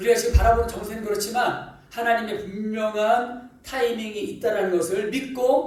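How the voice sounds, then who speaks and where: A man's voice, high in pitch, at a moderate pace. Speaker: pastor. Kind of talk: sermon.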